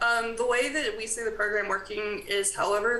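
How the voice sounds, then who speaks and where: A woman's fairly high, fairly even-toned voice amid audible room echo and noticeable background noise. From US South. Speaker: graduate assistant at a college. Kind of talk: presentation at a town committee meeting.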